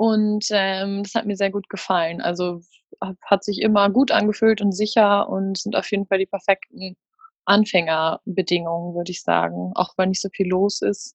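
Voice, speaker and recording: A woman talks in a plain, everyday voice at a medium pitch and moderate pace. Her intonation is fairly even, with a dry, close sound with no echo. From Münster, Germany. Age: 20s. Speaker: former retreat participant, student and freelance journalist. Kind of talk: casual interview.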